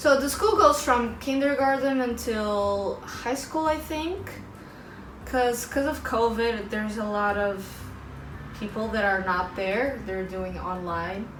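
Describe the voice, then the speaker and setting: Amid audible room echo and noticeable background noise, a woman with a fairly high pitch speaks at a very slow pace with lively intonation. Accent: Portuguese. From Portugal. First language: Portuguese. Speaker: vlogger and English teacher. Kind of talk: casual vlog talk to camera.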